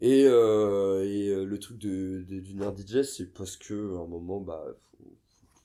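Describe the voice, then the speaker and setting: A man speaks with a very deep, low pitch and a dark, mellow tone at a fairly slow pace. His intonation is fairly even, and the recording is very clean with a silent background. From western France, near Nantes. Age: 30s. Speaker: skateboarder and DJ. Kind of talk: casual interview. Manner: hesitant, many fillers.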